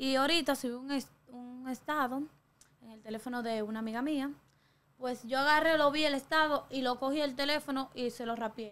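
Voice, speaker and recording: Her intonation stays fairly even. The woman's voice is high in pitch. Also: moderate pace. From Dominican Republic, La Caleta near Boca Chica; Dominican Republic. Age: young. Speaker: TikToker; interview guest. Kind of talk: interview. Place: studio. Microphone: studio mic.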